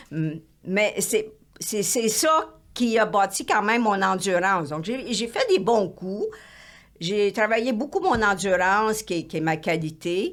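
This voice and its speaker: At a very slow pace, a woman talks in a medium pitch with lively intonation. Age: 70s. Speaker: retired elite marathon runner. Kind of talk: interview conversation. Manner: halting, many fillers.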